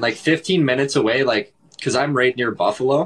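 Over a quiet background, a man with a southern Ontario accent speaks at medium pitch. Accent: Canadian (southern Ontario). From Canada. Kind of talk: casual chat. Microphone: video call.

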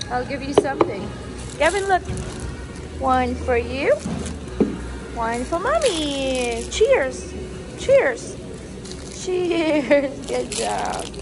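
A very slow pace with long, frequent pauses and music in the background. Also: woman. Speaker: vlogger mother. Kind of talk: casual vlog chat. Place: cafe. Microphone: phone near.

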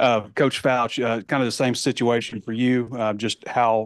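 Against a quiet background, a man with an ordinary speaking voice talks at a medium pitch and moderate pace in a dry, close sound with no echo. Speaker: sports reporter. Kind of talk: asking interview questions.

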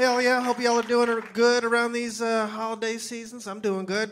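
Over noticeable background noise, a man with an American accent talks at a fairly quick pace in an extremely high pitch. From Louisiana, US. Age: 30s. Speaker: stand-up comedian. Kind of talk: stand-up comedy set. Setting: comedy club stage with audience. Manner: animated; casual, crowd-bantering. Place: stage. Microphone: handheld.

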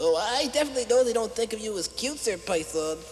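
Very fast, fairly high-pitched cartoonish character voice over clear background noise. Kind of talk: children's puppet show. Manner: whiny, fawning.

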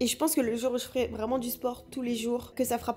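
This woman has a high pitch and a dark, mellow tone. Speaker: lifestyle vlogger. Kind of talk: casual vlog chat. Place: home room. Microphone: phone near.

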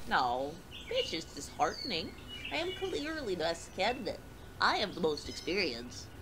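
Amid loud background noise, a female-sounding voice at medium pitch performs a put-on character voice. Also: moderate pace. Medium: short film. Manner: glum, then cheerfully gluttonous.

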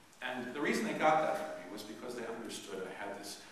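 A man at a fairly quick pace, with strong room echo and light background noise. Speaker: priest. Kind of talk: sermon. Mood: warm, humorous. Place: church. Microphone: camera far.

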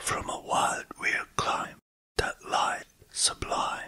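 A whispered voice. It moves at a very slow pace. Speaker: English teacher, writer. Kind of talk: poetry reading.

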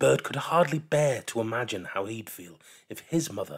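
The intonation stays lively throughout this unforced reading voice.

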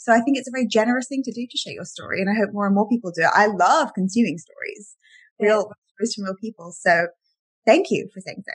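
Against a quiet background, a woman with an English accent talks very fast at a fairly high pitch, her somewhat breathy voice lively in intonation and showing big swings in loudness. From England. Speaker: life coach and author; life coach. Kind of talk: casual chat. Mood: warm, upbeat. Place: home room. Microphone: webcam.

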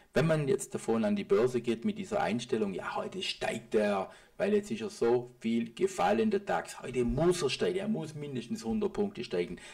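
A man with a high-pitched voice talks at a moderate pace, barely pausing, his pitch swinging very widely. Noticeable background noise can be heard. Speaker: private trader and market analysis video host. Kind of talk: market analysis commentary over charts. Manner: casual, with filler sounds.

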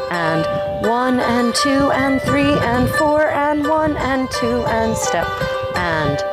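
Over music in the background, a woman speaks at a very slow pace in a dry sound with no echo. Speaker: dance instructor. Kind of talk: tutorial. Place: street.

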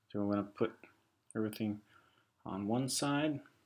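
With a fairly low pitch, vocal fry and a slightly husky edge, a man speaks with ordinary pitch variation.

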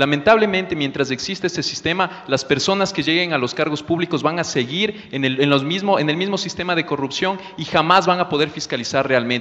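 Using a normal speaking voice, a man talks at a fairly quick pace with hardly any pauses, a fairly high pitch and ordinary pitch variation. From Ecuador, Amazon region (Pastaza); Ecuador. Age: 30s. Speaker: political candidate, political scientist; candidate. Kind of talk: political debate. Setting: stage in a theatre. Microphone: handheld.

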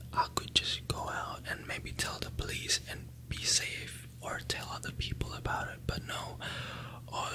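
Amid noticeable background noise, a man whispers at a fairly slow pace. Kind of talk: ASMR whispered review. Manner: whispered.

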